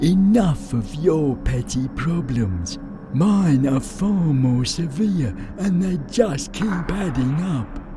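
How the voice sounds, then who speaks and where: Against loud music in the background, a man does a put-on character voice at a fairly high pitch and a very slow pace. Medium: machinima. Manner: blustering but fearful.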